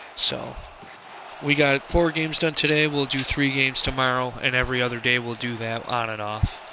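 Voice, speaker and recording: A man with a medium-pitched voice talks at a fairly quick pace and with fairly even intonation against noticeable background noise. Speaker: video game streamer and commentator. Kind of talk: live commentary. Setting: live stream. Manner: loud.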